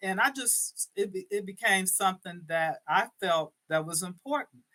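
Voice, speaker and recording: A bright, sharp tone with lively intonation at a fairly slow pace. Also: woman. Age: 70s. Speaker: fitness business owner, author. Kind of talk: interview.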